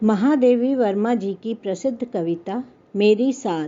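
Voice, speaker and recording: A woman has an unremarkable speaking voice, pitched fairly high with ordinary pitch variation. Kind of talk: spoken introduction to a poem.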